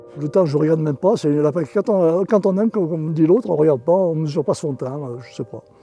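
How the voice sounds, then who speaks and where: Fairly quick male speech, fairly high in pitch with ordinary pitch variation, against noticeable background noise. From France, Dauphiné (Isère). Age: 70s. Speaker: retired shepherd. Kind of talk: testimony. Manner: halting, many hesitations and repetitions.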